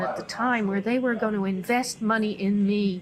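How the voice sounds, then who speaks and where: Speaking at a moderate pace, a woman with an unremarkable speaking voice keeps a medium pitch and fairly even intonation. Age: 60s. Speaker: business consultant. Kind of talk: interview.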